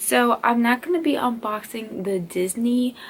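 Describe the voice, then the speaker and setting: A woman's fairly high voice comes through with noticeable noise behind it. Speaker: youtuber. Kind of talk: unboxing video.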